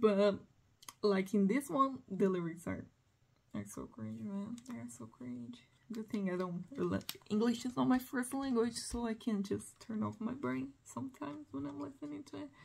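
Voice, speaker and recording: With a Portuguese accent, this voice moves at a moderate pace, somewhat breathy, with very wide pitch swings and big swings in loudness. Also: woman, medium pitch for a woman. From Brazil. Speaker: music collector vlogger. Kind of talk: casual monologue. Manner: halting.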